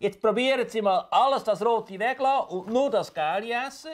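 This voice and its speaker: A man with a high pitch and a Swiss accent at a moderate pace, against a quiet background. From German-speaking Switzerland. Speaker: doctor visiting a patient. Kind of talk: explanation to a patient, partly narration. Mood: calm, reassuring. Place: home room. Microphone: lapel.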